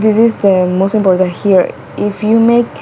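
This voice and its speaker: Someone speaks with a Colombian accent against noticeable background noise. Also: woman. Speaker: English learner vlogger. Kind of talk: tutorial. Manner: halting. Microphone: cell phone mic.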